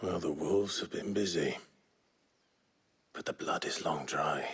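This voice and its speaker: Putting on a character voice, a man speaks at a moderate pace in a raspy, fairly low register. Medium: video game. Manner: terse, low-key.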